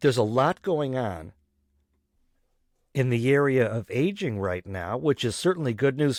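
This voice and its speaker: A man speaks at a moderate pace and medium pitch in a very clean recording with a silent background. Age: 60s. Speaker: podcast host. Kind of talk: solo podcast monologue.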